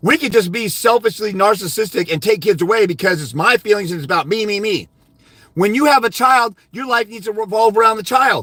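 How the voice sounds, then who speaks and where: A man shouts in a raised, projected voice, animated and fairly quick. His tone is bright and sharp, his pitch is high, and its variation is ordinary. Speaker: fathers' rights custody advisor. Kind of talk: live stream Q&A. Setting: live on YouTube. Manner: loud, yelling.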